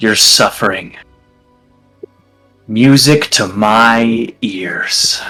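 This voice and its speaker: A man uses a gravelly, put-on character voice at medium pitch, speaking at a very slow pace with long, frequent pauses. Faint music sits in the background. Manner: mocking, smug.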